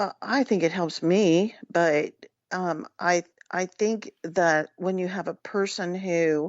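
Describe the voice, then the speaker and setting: A woman's medium-pitched voice moves at a very slow pace, her intonation fairly even. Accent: American. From Washington DC area. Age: 60s. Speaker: psychic. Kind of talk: interview.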